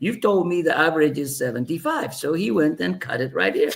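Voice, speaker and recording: At a moderate pace, a man talks with lively intonation and a somewhat breathy voice. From Ethiopia. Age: 60s. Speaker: aviation executive and former pilot. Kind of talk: interview storytelling. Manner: halting, many fillers and repeats.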